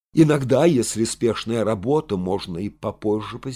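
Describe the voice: Lively intonation carried through plain reading aloud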